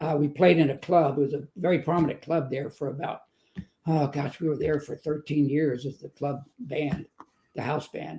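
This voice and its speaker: With a Texan accent, a man talks at a moderate pace and fairly even intonation. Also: fairly high pitch for a man. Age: 70s. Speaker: motivational speaker and author. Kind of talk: testimony.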